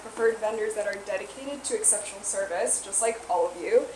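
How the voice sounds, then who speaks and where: Very wide pitch swings from a woman, with noticeable background noise. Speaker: business co-presenter. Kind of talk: presentation to a small audience. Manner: fast.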